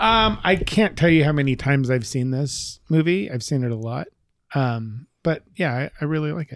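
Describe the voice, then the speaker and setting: This man has a plain, everyday voice at a fairly high pitch. He keeps a moderate pace with lively intonation. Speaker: movie podcast co-host. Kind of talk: casual chat.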